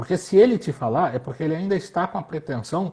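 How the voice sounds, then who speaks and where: Here a man is speaking. His voice sounds somewhat breathy. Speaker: retail fashion consultant. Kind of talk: casual chat. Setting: instagram live video call.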